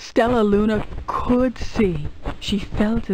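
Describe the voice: What the recording holds is plain reading aloud.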